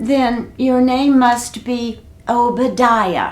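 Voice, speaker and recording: In a put-on character voice, a female-sounding speaker talks at a very slow pace with a high pitch. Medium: read story.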